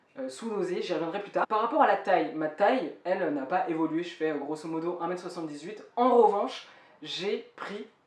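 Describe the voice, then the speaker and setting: A woman talking at a fairly quick pace with lively intonation over noticeable background noise. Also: big swings in loudness. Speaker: vlogger. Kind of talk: personal vlog update. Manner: fast.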